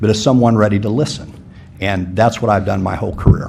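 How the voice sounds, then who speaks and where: A man speaks in an unremarkable speaking voice, with ordinary pitch variation. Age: 50s. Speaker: city commission applicant. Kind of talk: public forum answer.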